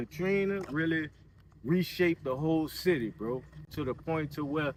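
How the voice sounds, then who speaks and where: A man with a New Orleans accent, moderate in pace, with fairly even intonation. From New Orleans, Louisiana. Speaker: local neighborhood guide. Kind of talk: casual interview walking tour. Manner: relaxed, filler-heavy with repetitions.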